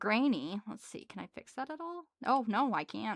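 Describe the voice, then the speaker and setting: In a strong Wisconsin accent, a woman with a fairly high voice talks in a relaxed tone at a fairly slow pace, her pitch swinging very widely, the sound dry and close with no echo on a very clean recording with a silent background. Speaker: livestreamer. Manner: casual, relaxed, chatty.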